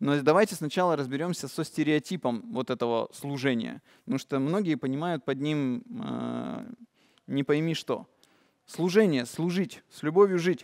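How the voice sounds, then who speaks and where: With a quiet background, a man with a fairly high pitch talks at a moderate pace in an animated tone with lively intonation. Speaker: meditation course leader; presenter. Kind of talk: lecture. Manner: animated, gestures a lot. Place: hall.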